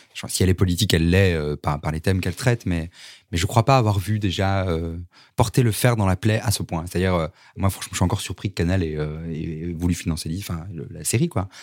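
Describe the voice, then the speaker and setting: Recorded very cleanly against a silent background with a dry, close sound and no echo, a man talks at a fairly quick pace in a very deep, low voice with ordinary pitch variation. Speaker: novelist. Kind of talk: interview. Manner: halting.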